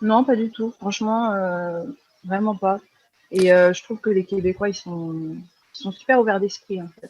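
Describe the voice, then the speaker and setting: A woman speaks at a fairly slow pace with long, frequent pauses. Her pitch is medium and her intonation fairly even. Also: big swings in loudness. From France. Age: 20s. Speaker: freelance graphic designer. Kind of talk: podcast interview. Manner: hesitant, many fillers.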